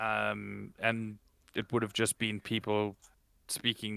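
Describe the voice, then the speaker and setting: A man's fairly low, bright, sharp voice in a South African accent, monotone and flat, at a very slow pace, dry and close with no echo, on a very clean recording with a silent background. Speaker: podcast co-host and streamer. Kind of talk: casual chat.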